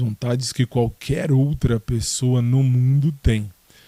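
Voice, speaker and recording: A man speaks at medium pitch with a dark, mellow tone. The recording is very clean with a silent background and a dry, close sound with no echo. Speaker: solo podcaster. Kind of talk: casual monologue. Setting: at home in his bedroom. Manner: hesitant, many fillers.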